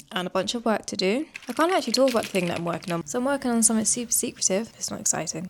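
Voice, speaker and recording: Lively intonation from a woman, with noticeable noise in the background. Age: 30s. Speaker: lifestyle vlogger. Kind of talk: casual vlog narration. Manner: casual; fast.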